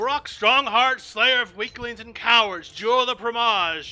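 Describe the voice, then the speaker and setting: A put-on character voice, raised, projected and booming, shouting at a fairly high pitch and a moderate pace over music in the background. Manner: booming, shouting to a crowd.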